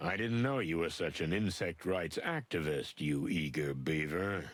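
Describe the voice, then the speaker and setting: In a put-on character voice, a man delivers his lines in a deadpan tone at a very deep, low pitch. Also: moderate pace, very clean recording, silent background. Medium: video game. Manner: gruff, deadpan.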